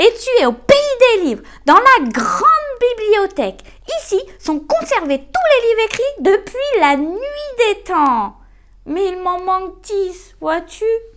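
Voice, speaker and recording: A woman puts on a character voice, pitched extremely high and swinging very widely. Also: fairly slow pace. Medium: read story. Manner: fussy, slightly whining.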